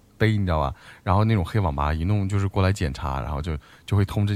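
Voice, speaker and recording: The recording is very clean with a silent background as a man speaks at a very fast pace. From Chinese dialect region. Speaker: podcast co-host. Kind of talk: casual chat. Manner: halting.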